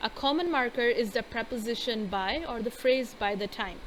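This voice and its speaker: Speaking fairly slowly in a Pakistani accent, a woman keeps a fairly high pitch and fairly even intonation. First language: Urdu. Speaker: English grammar teacher. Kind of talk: lecture. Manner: hesitant, many fillers.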